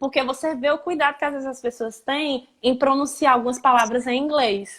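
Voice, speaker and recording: A woman with a Ceará accent, high-pitched, at a moderate pace. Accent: Ceará Brazilian Portuguese. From Brazil, Ceará. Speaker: language teacher. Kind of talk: live stream interview.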